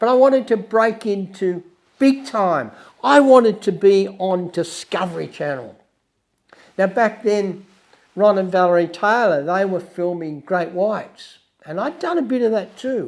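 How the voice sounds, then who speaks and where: In an Australian accent, a man with a high-pitched voice talks at a fairly slow pace. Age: 70s. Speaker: wildlife filmmaker and podcast host. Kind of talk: personal storytelling monologue.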